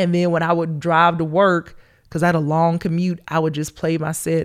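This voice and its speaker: A woman with a Southern US accent at a fairly quick pace, monotone and flat, on a very clean recording with a silent background. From Georgia, US South. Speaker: comedian. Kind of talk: casual interview chat.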